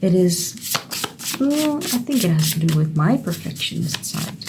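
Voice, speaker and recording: A woman with a Dutch accent at a fairly slow pace, against noticeable background noise. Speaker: creative writing YouTuber. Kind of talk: casual tutorial. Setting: home studio. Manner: thinking aloud, hesitant.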